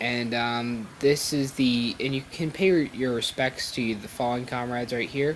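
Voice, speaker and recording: Through noticeable background noise, a man mumbles at a fairly slow pace in a medium-pitched voice. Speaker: video game reviewer. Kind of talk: game review voiceover. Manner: mumbling; hesitant, many fillers.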